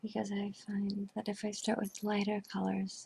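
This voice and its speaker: The voice is whispered and soft-spoken. It moves at a fairly slow pace. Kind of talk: ASMR role play. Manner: soft-spoken, whispered.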